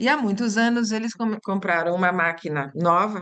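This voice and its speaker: Speaking in an Italian accent, a woman with a medium-pitched voice talks at a moderate pace with fairly even intonation. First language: Italian (speaking Portuguese). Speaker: language teacher and workshop host. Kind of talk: online teacher workshop discussion. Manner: thinking aloud, halting with repetitions.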